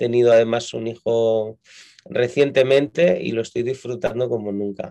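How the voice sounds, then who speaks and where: Speaking with a Castilian accent, a man has a dark, mellow tone and a moderate pace. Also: medium pitch for a man, ordinary pitch variation. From Spain, Madrid. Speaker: pastor. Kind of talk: interview.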